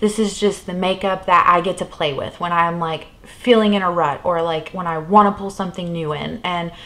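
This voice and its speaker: A woman speaks at a fairly quick pace in a plain, everyday voice. Her pitch is fairly low and her intonation fairly even. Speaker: beauty vlogger. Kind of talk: casual vlog chat. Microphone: camera far.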